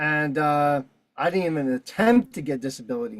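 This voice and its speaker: Speaking in a New York accent, a man uses a fairly high pitch. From New York City. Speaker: streamer hosting a Zoom call. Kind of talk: casual rant. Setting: video call. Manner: animated. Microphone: new mic.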